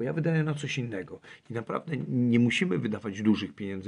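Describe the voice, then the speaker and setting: At a fairly quick pace, a man talks in an ordinary speaking voice. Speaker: climber and traveller. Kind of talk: interview.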